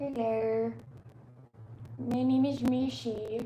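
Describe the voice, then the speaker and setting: The speaker uses a put-on character voice. An echo can be heard. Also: female-sounding voice, fairly high pitch for a woman. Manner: cute, playful.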